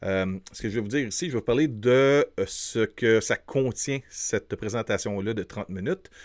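A man with a Quebec accent talks at a moderate pace with ordinary pitch variation against a quiet background. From Quebec, Montreal. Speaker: film reviewer YouTuber; film reviewer. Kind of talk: casual film review to camera. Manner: hesitant, many fillers; enthusiastic. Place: studio. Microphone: studio mic.

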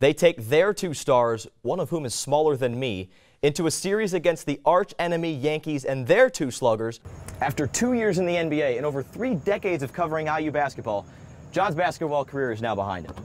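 Fairly quick, lively intoned man with a fairly high pitch, music playing behind him. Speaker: sports broadcaster, reporter and anchor. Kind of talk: sports news broadcast delivery.

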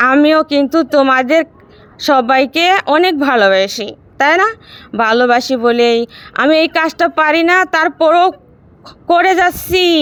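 High in pitch, a woman's voice stays very even in loudness. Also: lively intonation. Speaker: cooking vlogger. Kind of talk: casual vlog chat. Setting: rooftop garden at night.

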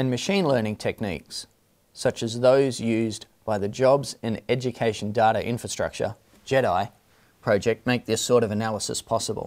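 A man speaks at a moderate pace with a fairly low pitch. His tone is slightly mellow and his intonation fairly even.

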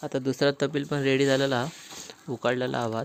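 A man at medium pitch with monotone, flat intonation, amid noticeable background noise. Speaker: village vlogger. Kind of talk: casual vlog narration.

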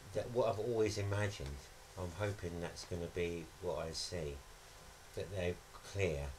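A man talks at a moderate pace in a very deep, low pitch. Noticeable background noise comes through. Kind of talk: interview answer. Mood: reflective, thoughtful. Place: studio.

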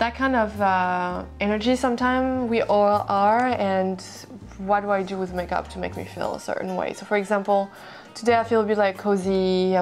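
Over faint background music, a woman speaks at a fairly quick pace. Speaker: beauty vlogger. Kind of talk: casual vlog chat. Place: home room.

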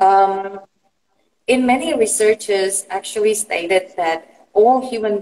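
A woman with a dark, mellow tone talks very slowly. Her pitch varies in an ordinary way. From Indonesia. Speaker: psychology practitioner; guest. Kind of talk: interview. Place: home room. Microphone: video call.

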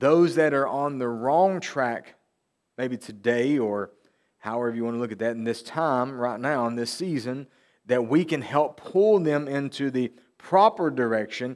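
The background is quiet while a man talks at a fairly slow pace. His pitch varies in an ordinary way. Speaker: preacher. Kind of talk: sermon. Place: church.

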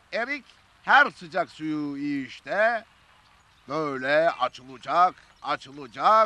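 A man speaks at a very slow pace with long, frequent pauses, lively intonation and big swings in loudness, in a dry sound with no echo. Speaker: interviewee. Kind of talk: interview answer. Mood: nostalgic, animated storytelling. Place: garden.

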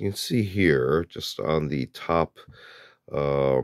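Extremely low pitch from a man, with lively intonation, a slightly mellow tone and a dry, close sound with no echo

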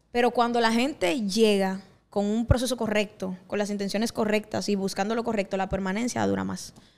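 A woman has a normal speaking voice with a medium pitch. She talks at a fairly quick pace with fairly even intonation. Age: 20s. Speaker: singer and pastor; pastor. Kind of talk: casual chat. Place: studio. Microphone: handheld.

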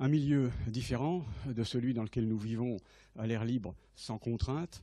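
The voice has a dark, mellow tone. The sound is dry, with no echo. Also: man. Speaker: invited naval lecturer. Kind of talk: lecture. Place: hall.

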